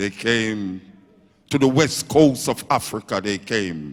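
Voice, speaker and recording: A man speaks with a Jamaican accent. His pace is very slow. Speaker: dub poet. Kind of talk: poetry performance. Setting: live stage. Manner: rhythmic, forceful.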